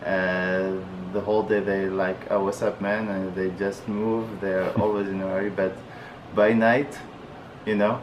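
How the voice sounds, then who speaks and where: A man with an Arabic accent talks at a fairly low pitch and a fairly slow pace in a monotone, flat way, with noticeable background noise and audible room echo. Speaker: international student. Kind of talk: interview. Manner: halting.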